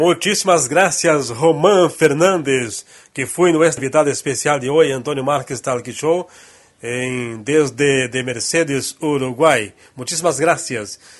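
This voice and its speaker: With a Portuguese accent, a man talks at a fairly slow pace. His pitch is fairly high, with ordinary pitch variation. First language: Portuguese (speaking Spanish). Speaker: talk show host. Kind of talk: interview.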